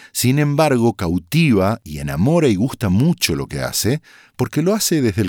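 A man at a moderate pace with very wide pitch swings, in a dry, close sound with no echo and a very clean recording with a silent background. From Argentina, Corrientes (Bella Vista). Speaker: voice-over artist. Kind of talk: casual interview.

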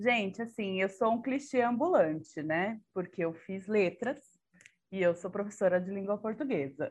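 A woman speaking with lively intonation. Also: quiet background. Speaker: podcast co-host, Portuguese teacher. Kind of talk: casual chat.

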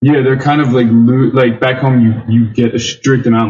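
A man talks in a somewhat breathy voice with a Philadelphia accent. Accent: Philadelphia American. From US, Philadelphia area. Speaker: English teacher living abroad. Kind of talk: casual chat.

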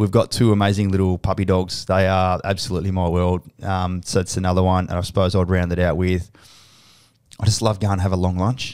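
With an Australian accent, a man speaks at a fairly quick pace in a very deep, low pitch, recorded very cleanly over a silent background. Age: 40s. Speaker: podcast host, army veteran and company CEO. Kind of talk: casual interview. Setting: studio with cameras. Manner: loud; animated.

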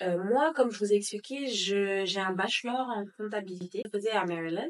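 A woman speaks in an unremarkable speaking voice at a medium pitch, with ordinary pitch variation. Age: 20s. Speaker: pastry business owner. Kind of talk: interview.

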